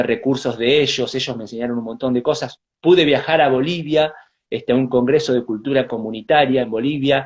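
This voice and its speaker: This man speaks with a Rioplatense accent and ordinary pitch variation. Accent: Argentine Spanish (rioplatense). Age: 30s. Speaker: Mapuche shaman and spiritual healer. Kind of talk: interview, personal life story. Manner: halting, many fillers and repetitions.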